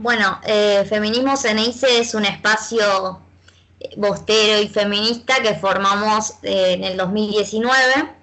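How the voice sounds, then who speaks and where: With a normal speaking voice, a woman goes at a fairly slow pace, her fairly high pitch showing ordinary pitch variation. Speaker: feminist football fan activist. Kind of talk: casual chat.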